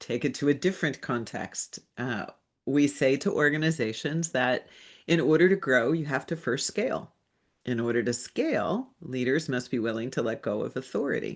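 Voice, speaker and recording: The pace is moderate. The background is quiet. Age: 60s. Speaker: executive coach. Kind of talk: live webinar masterclass. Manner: hesitant, many fillers.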